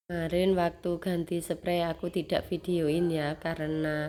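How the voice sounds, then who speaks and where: A woman with a dark, mellow tone speaks in a monotone, flat intonation at a fairly slow pace. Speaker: homemaker vlogger. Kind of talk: casual vlog narration. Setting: at home. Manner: halting, many fillers.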